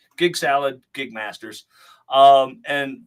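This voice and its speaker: The recording is very clean, with a silent background. A man speaks in a fairly high pitch with a bright, sharp tone. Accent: American. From Scotland, Isle of Bute. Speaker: hypnotist and entrepreneur. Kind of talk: podcast interview. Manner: carefully enunciated, sounds recorded.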